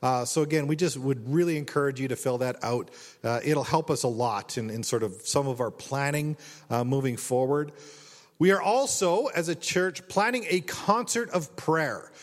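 Using a plain, everyday voice, a man speaks at a moderate pace with a fairly high pitch. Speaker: associate pastor. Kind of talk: church announcements, casual.

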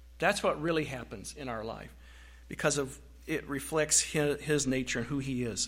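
At a moderate pace, a man with a medium pitch speaks with ordinary pitch variation and vocal fry. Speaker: pastor. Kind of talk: sermon. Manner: halting.

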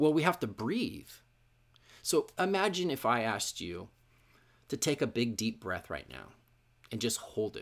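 A man with an American accent and a medium pitch talks at a moderate pace with vocal fry, very wide pitch swings, big swings in loudness, and long, frequent pauses. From Washington State, US (Issaquah). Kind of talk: sermon. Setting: church. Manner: hesitant, many fillers.

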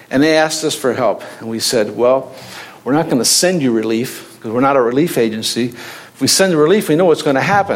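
Fairly quick, lively speech from a man with an American accent, amid noticeable background noise and audible room echo. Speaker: missionary. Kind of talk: sermon. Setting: church.

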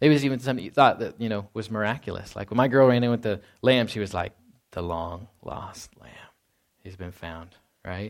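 A man with an ordinary speaking voice talks fairly quickly at a fairly low pitch, with ordinary pitch variation and big swings in loudness, on a very clean recording, silent background. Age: 30s. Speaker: pastor. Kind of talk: sermon. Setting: church.

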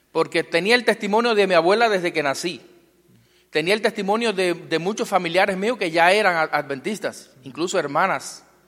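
This man speaks with a Cuban accent. His voice sits high in pitch, with ordinary pitch variation. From Cuba, Guantánamo. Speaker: pastor. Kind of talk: testimony. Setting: church.

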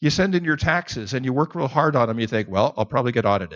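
A man's voice with vocal fry swings very widely in pitch. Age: 60s. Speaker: Bible teacher. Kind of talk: sermon.

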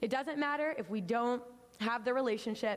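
A woman talks at a moderate pace with fairly high pitch and ordinary pitch variation. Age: 20s. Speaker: young church member giving a sermon. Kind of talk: sermon. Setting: church. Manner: casual, filler-heavy delivery.

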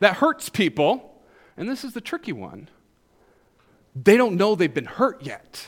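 A man speaks in a high voice with an American accent. His pace is fairly slow. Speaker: preacher. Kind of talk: sermon.

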